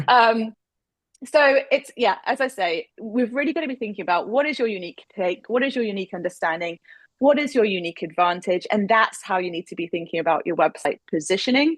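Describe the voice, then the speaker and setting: Against a quiet background, a woman talks at a fairly quick pace with an English accent. Her pitch swings very widely. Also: fairly high pitch for a woman, dry, close sound with no echo. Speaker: speaker coach. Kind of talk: webinar presentation.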